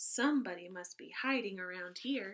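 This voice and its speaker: A raspy, put-on character voice from a woman, medium in pitch, at a moderate pace with lively intonation. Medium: read story.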